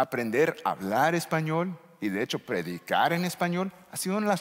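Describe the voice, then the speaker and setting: A man with an English accent, fairly high-pitched, at a fairly quick pace. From United States. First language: English (speaking Spanish). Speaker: pastor. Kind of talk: sermon. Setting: church.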